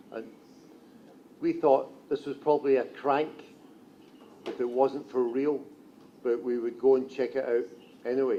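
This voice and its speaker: A man with a strong Scottish accent speaks at a medium pitch in a dark, mellow tone, his intonation monotone and flat, with long, frequent pauses. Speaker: journalist. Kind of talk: conference talk. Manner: slow.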